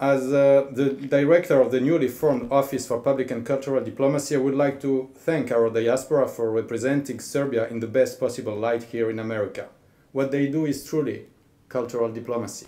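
A man with a French accent talks at a fairly quick pace. His medium-pitched voice has a dark, mellow tone. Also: fairly even intonation. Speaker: government official, cultural diplomacy director. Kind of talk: formal speech. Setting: embassy reception in front of an audience. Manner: formal. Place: hall. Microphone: podium.

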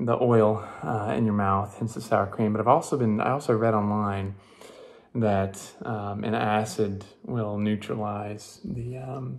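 A man speaks at a fairly slow pace with fairly low pitch and a normal speaking voice. His intonation stays fairly even against a quiet background. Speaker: vlogger. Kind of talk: casual vlog chat. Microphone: phone near.

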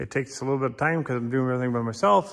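A man talks with ordinary pitch variation over a quiet background. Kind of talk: tutorial. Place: workshop. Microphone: phone near.

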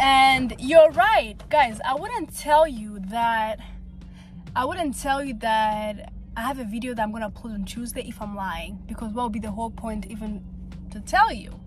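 A woman talks at a moderate pace with ordinary pitch variation and big swings in loudness. Clear music plays behind her dry sound with no echo. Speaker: vlogger. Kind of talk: casual vlog chat. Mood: apologetic, relaxed. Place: car. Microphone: phone near.

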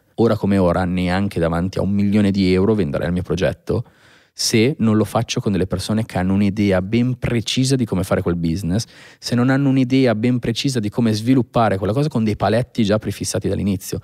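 Against a quiet background, a man speaks very fast in a fairly low, dark, mellow voice with ordinary pitch variation. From northern Italy, Pavia province (Lombardy); Lombardy, Italy. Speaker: sneaker restorer; podcast guest. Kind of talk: casual interview chat. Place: studio. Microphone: studio mic.

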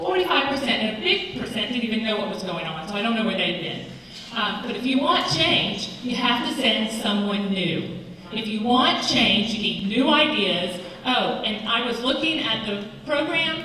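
A woman's fairly slow, lively voice with an American accent, fairly high in pitch, amid audible room echo and light background noise. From eastern North Carolina. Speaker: political candidate, teacher. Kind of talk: candidate forum debate. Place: hall. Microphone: podium.

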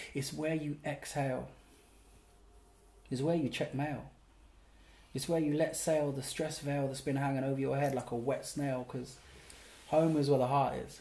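A man speaks in a dark, mellow tone that is somewhat breathy. His intonation is monotone and flat, with long, frequent pauses. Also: moderate pace. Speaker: poet and actor. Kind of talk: spoken word poetry performance. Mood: relaxed, playful, humorous. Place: home room.

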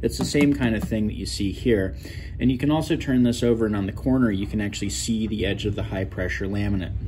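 A man speaks at a fairly quick pace with a fairly low pitch. Noticeable background noise runs under him. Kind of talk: tutorial. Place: workshop. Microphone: phone near.

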